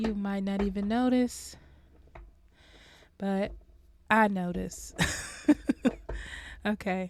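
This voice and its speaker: Her voice has a dark, mellow tone. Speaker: tarot reader. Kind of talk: tarot reading. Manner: slow to catch breath.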